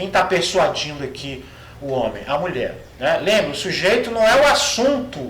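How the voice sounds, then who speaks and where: Noticeable background noise and audible room echo around a man speaking at a moderate pace. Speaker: Greek language professor. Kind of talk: lecture. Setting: recorded online class video. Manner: halting, many fillers.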